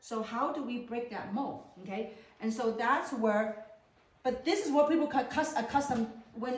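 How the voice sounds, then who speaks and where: A woman with a Chinese accent talks at a fairly quick pace and a fairly high pitch, with noticeable background noise and audible room echo. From China. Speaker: network marketing business presenter. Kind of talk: business opportunity presentation.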